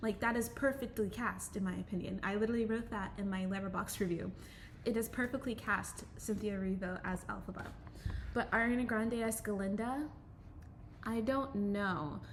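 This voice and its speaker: A woman talks at a moderate pace in a fairly high, somewhat breathy voice with ordinary pitch variation. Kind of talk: casual talk to camera. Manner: hesitant, many filler words.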